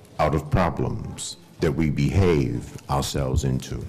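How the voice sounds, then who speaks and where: A man speaking very slowly over noticeable background noise. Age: 60s. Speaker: panel speaker. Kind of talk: panel talk. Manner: animated.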